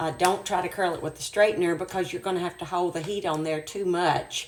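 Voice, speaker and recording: A woman with a fairly low pitch and ordinary pitch variation talks at a fairly quick pace in an unremarkable speaking voice. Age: 60s. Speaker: ministry leader doing a hair tutorial. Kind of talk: tutorial.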